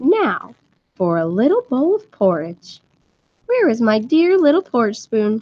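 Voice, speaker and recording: Using a shrill put-on character voice, a woman speaks at a high pitch with very wide pitch swings and a moderate pace. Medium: read story. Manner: screeching, sly.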